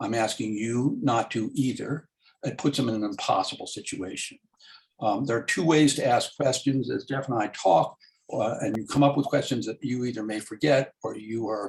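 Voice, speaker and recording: In an American accent, a man talks with a somewhat breathy, medium-pitched voice and ordinary pitch variation. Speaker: local neighborhood commissioner, meeting moderator. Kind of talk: moderating an online community meeting. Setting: video call. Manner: fast; halting, frequent fillers.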